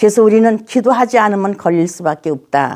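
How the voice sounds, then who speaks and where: Her tone is dark and mellow, with very wide swings in pitch. The recording is very clean, with a silent background. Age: 80s+. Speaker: pastor. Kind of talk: interview.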